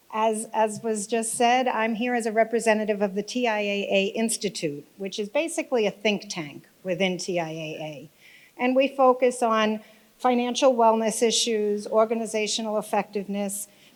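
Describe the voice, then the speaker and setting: A woman's fairly high voice at a moderate pace. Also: ordinary pitch variation. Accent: New York. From New York. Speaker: think tank director, speaker. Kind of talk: conference speech.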